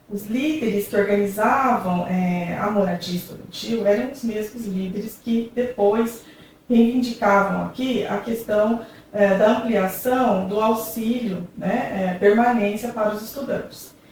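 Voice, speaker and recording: A woman talks at a fairly slow pace in a fairly high pitch, her intonation fairly even. Noticeable background noise and audible room echo are present. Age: 40s. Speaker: university professor. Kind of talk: documentary interview.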